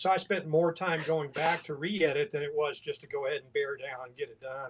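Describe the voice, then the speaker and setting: At a fairly quick pace, a man with a Southern US accent speaks in a fairly high pitch, his intonation fairly even but his loudness swinging widely. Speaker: writing group member. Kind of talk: casual chat.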